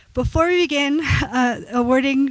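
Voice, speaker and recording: A soft-spoken woman talks, her pitch moving in an ordinary way. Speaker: program director and instructor. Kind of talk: ceremony speech. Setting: graduation ceremony with audience.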